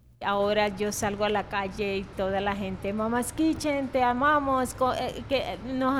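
Barely pausing, a woman with a Venezuelan accent speaks at a fairly slow pace. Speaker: restaurant owner. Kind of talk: interview.

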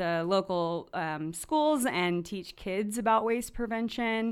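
A woman with an American accent and an unremarkable speaking voice, at a fairly slow pace with ordinary pitch variation, in a very clean recording with a silent background. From US South, North Carolina. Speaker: nonprofit education director. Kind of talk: radio interview.

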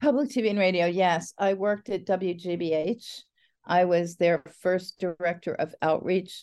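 An ordinary speaking voice, a woman with an American accent at medium pitch and a moderate pace, with ordinary pitch variation against a quiet background. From New Jersey, near New York City. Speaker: poet. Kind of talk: interview.

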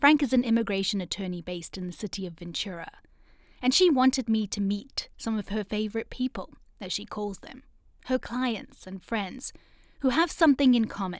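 A woman with an unremarkable speaking voice talks at a fairly quick pace, her pitch fairly high. Her intonation is lively, and her loudness swings widely. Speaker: podcast host and reporter. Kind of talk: scripted narration.

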